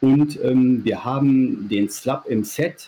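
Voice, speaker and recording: The voice has a dark, mellow tone, somewhat breathy, moving very slowly with fairly even intonation. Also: man. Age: 40s. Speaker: sex toy maker. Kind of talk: casual interview.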